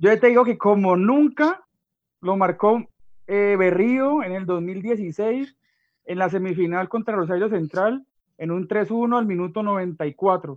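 High-pitched man with a Valle del Cauca Colombian accent, at a very slow pace with ordinary pitch variation. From Colombia, Valle del Cauca. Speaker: adjunct lecturer. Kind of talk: radio talk show.

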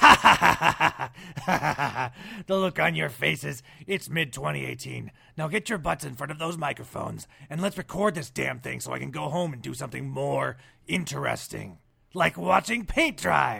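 Moderate-paced speech from a man, captured on a very clean recording against a silent background. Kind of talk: TV announcer voice.

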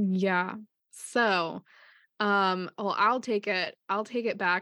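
A woman with a Midwestern US accent and medium pitch speaks very slowly with fairly even intonation. The sound is dry and close with no echo, the background quiet. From Ohio, US. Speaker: podcast co-host and artist. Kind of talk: casual chat.

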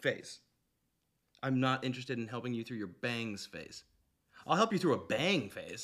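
Pausing long and often, a man at medium pitch talks at a moderate pace with lively intonation and big swings in loudness. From Canada. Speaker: podcast host. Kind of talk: casual chat.

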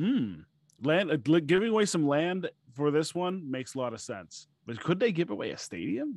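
Animated in tone, a man speaks at a moderate pace in a fairly high pitch with very wide pitch swings. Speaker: podcast host. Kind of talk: casual banter, livestream hosting. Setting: online livestream. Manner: animated, talkative, jokey.

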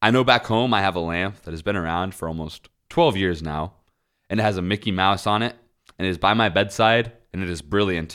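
A man with an American accent talks at a fairly quick pace, his pitch very deep and low with ordinary variation. The recording is very clean, with a silent background. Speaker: podcast host. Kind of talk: casual chat. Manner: jokey, laughs often.

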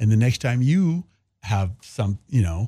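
Somewhat breathy, a man with an American accent speaks in a dark, mellow tone. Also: dry, close sound with no echo. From Kansas, small town. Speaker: playwright and performer. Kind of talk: casual interview chat.

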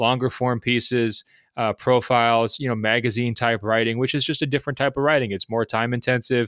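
A man with an American accent speaks fairly quickly in a flat monotone. The sound is dry and close with no echo, on a very clean recording with a silent background. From Oregon, US Pacific Northwest. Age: 30s. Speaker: sports journalist. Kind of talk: interview.

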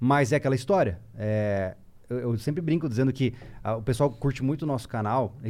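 Dark, mellow tone from a man at medium pitch, ordinary pitch variation and a moderate pace. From Mato Grosso do Sul, Brazil (Campo Grande). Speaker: survival instructor, YouTuber. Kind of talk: casual chat.

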